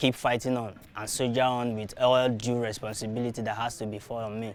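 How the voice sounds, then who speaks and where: A man speaks with a Nigerian accent at a medium pitch. His pace is fairly quick and his intonation fairly even. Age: young. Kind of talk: interview answer.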